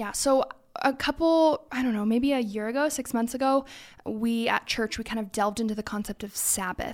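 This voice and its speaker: A woman with an American accent talks at a moderate pace in a fairly high pitch with ordinary pitch variation, a plain, everyday voice. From California. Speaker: church executive director. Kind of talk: casual chat.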